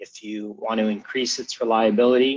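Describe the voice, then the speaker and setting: With an American accent and a normal speaking voice, a man talks at a moderate pace and medium pitch with fairly even intonation. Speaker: product manager presenting a webinar. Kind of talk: webinar presentation. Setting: online webinar. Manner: casual with frequent fillers.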